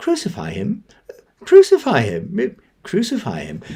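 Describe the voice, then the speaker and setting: A man's strained, put-on character voice at a moderate pace. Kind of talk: polite. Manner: meek, mild, restrained.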